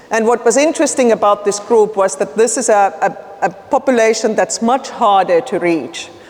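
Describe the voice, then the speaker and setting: A woman with a fairly high pitch talks at a moderate pace, her intonation lively, while noticeable background noise carries on behind her. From Finland. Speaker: nonprofit leader working on homelessness. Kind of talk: conference presentation. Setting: conference room with audience. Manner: casual, conversational.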